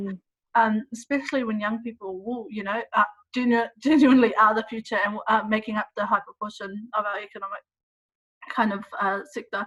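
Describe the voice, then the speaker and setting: A woman with an unremarkable speaking voice talks at a fairly quick pace and a fairly high pitch, her intonation fairly even. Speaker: researcher. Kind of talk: interview questions.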